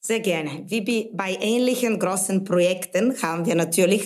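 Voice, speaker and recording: Speaking at a fairly slow pace, a woman has a Bulgarian accent. Her pitch is medium, with ordinary pitch variation. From Bulgaria, Sofia. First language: Bulgarian (speaking German). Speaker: brand manager. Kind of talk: interview podcast.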